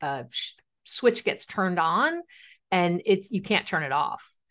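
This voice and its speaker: A woman with an ordinary speaking voice and a medium pitch talks at a fairly slow pace against a quiet background. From New York City. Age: 50s. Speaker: relationship expert. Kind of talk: interview.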